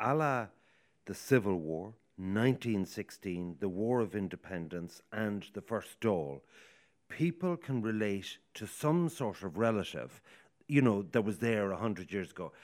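In an Irish accent, a man with a fairly low pitch speaks at a fairly slow pace. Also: lively intonation, very clean recording, silent background. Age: 50s. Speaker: radio host. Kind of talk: radio talk show panel. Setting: outside broadcast at a hotel.

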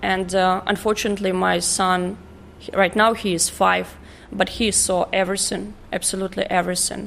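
Speaking at a moderate pace, a woman with a medium pitch shows vocal fry and a monotone, flat intonation. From northeastern Ukraine. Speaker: hotel duty manager, refugee. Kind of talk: interview.

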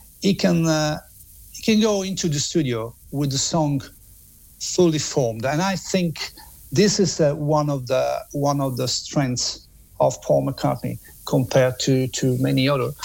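Speaking fairly slowly in an Italian accent, a man has a fairly high, somewhat breathy voice and lively intonation. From Italy. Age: 50s. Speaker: music author and journalist. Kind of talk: interview. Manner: halting.

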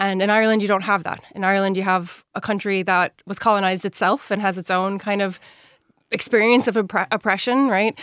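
A woman with an ordinary speaking voice in an American accent, medium pitch, fairly even intonation and a fairly quick pace, on a very clean recording with a silent background. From New York (Yonkers), US. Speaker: author and secondary school teacher. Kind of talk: radio interview.

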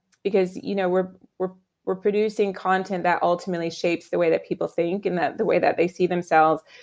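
A woman's ordinary speaking voice, medium in pitch, with an American accent and fairly even intonation. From US, Virginia. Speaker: fashion editor and author. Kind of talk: casual interview chat.

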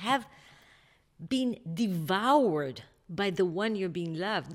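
The recording is very clean, with a silent background. A woman speaks at medium pitch with an Israeli accent. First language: Hebrew. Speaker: novelist. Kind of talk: interview. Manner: halting.

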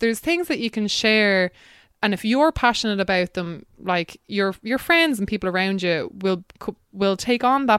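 The speaker has a southeastern Irish accent, with lively intonation and a moderate pace. The sound is dry and close with no echo, on a very clean recording with a silent background. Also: woman. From Ireland, County Wexford. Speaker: climate activist and podcaster. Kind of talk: casual interview.

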